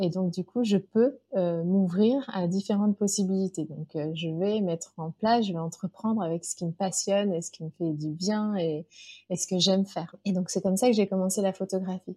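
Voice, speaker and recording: Dark and mellow, a woman's somewhat breathy medium-pitched voice moves at a moderate pace with fairly even intonation, recorded dry and close with no echo. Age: 40s. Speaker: business coach for mothers. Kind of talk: interview.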